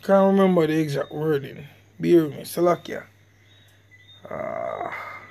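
A man at a moderate pace with long, frequent pauses and big swings in loudness, over noticeable background noise. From Jamaica. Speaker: religious online teacher. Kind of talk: religious lesson video.

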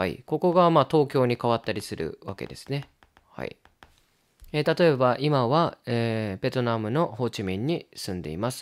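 Lively intonation marks this man's ordinary speaking voice, which sits at a medium pitch and moves at a moderate pace. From Japan. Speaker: Japanese language teacher. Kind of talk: tutorial.

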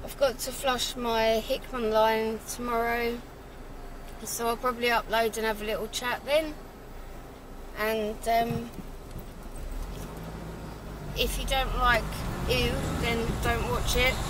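A woman speaking very slowly in a flat monotone, with long, frequent pauses, dry sound with no echo and noticeable background noise. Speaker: vlogger driving. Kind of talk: casual vlog chat. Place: car. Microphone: camera far.

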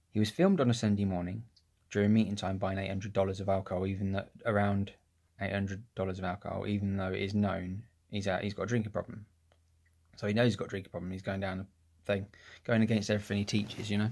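Against a quiet background, a man speaks in a fairly low pitch. His intonation is monotone and flat. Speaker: vlogger. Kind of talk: casual vlog chat. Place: home room. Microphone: phone near.

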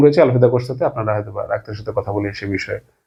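This is a man speaking. His pitch is medium. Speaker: news video host. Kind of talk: news commentary to camera.

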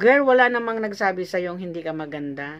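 A woman talks at a fairly quick pace, her intonation lively. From Philippines, Zamboanga; Philippines. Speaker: vlogger. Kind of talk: reaction video commentary. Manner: animated. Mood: indignant, scolding. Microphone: phone near.

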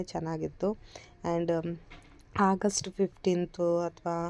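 A woman speaks at a fairly low pitch with a dark, mellow tone. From Chikmagalur, Karnataka. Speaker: vlogger, mother. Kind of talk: casual vlog narration.

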